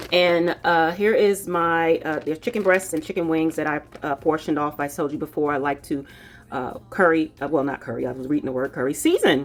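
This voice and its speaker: Music sits in the background. The speech is fairly quick, with ordinary pitch variation. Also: woman, very deep, low pitch for a woman. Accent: American. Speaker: cooking vlogger. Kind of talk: cooking tutorial. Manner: casual, chatty with fillers.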